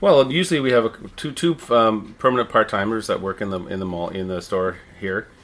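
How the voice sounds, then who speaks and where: A man talks at a fairly quick pace in an ordinary speaking voice. His pitch is fairly low and his intonation is lively. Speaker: town crier and manager of visitor services. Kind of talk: interview answer. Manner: conversational, friendly, fluent.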